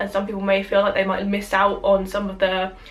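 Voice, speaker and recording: A woman talks with a British accent at a medium pitch. Noticeable background noise is present. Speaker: YouTuber. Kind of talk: casual film review to camera.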